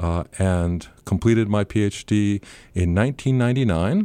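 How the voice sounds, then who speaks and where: A man's fairly low, dark, mellow voice with lively intonation and an American accent, on a very clean recording with a silent background. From Northern California. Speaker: anthropology professor. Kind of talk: interview.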